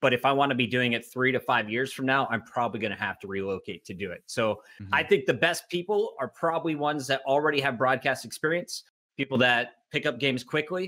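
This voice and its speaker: Bright and sharp in tone, a man rattles along at a very fast pace with lively intonation. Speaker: esports commentator. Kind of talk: casual panel discussion. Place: home room.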